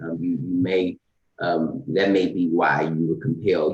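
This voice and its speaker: A man with a Southern US accent. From US South (east Texas, Louisiana). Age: 30s. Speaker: lawyer and leadership nonprofit co-founder, webinar panelist. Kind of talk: panel discussion. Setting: video call webinar. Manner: many filler words (um).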